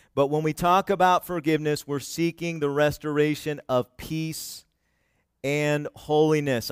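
A man's fairly high-pitched voice, a plain, everyday voice, at a moderate pace, with a dry, close sound with no echo and a very clean recording with a silent background. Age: 40s. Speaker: pastor. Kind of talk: sermon. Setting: church.

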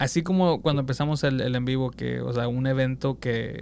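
A man speaks with a medium pitch. His pitch varies in an ordinary way. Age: 30s. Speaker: podcast host. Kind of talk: casual chat.

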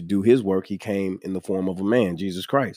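A man with an American accent talks at a moderate pace in a fairly low pitch, an ordinary speaking voice. The recording is very clean, with a silent background. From New York. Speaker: podcast host. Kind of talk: casual interview chat.

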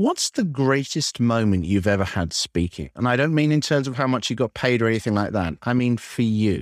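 An unremarkable speaking voice from a man at medium pitch, fairly quick with hardly any pauses and lively intonation, in a dry, close sound with no echo and a very clean recording with a silent background. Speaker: podcast interviewer. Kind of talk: interview.

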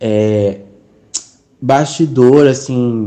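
A man is heard speaking. His tone stays mostly level. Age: 20s. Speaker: university student. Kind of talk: interview testimony.

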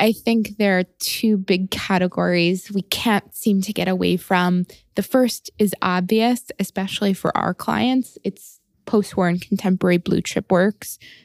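In a plain, everyday voice, a woman talks at a fairly slow pace with fairly even intonation, the sound dry and close with no echo. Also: medium pitch for a woman. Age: 30s. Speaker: art finance executive at a bank. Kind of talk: interview.

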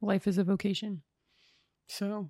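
A woman with an American accent, medium pitch and a dark, mellow tone, fairly slow and fairly even, on a very clean recording with a silent background. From northern Minnesota. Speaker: consecrated religious woman, youth minister. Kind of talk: casual interview.

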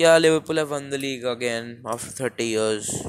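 A man with an Indian accent, at a moderate pace, with fairly even intonation. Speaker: football podcaster. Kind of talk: casual solo commentary. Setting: home recording with a low-quality mic. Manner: rambling, informal.

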